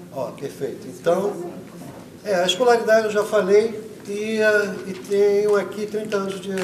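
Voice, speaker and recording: Over noticeable background noise and audible room echo, a man with a high voice speaks at a fairly slow pace with fairly even intonation. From Rio de Janeiro, Brazil. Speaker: political candidate. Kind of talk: debate answer.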